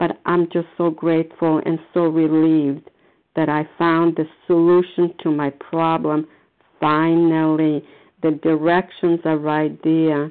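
A woman speaks at a fairly slow pace in a very deep, low pitch, her monotone, flat intonation paired with very even loudness. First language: not English. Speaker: meeting participant sharing recovery. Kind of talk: testimony. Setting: phone call.

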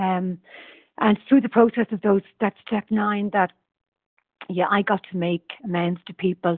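This woman has an Irish accent. She talks at a moderate pace with ordinary pitch variation. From Ireland. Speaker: twelve-step meeting member. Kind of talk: personal share in support group. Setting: phone call.

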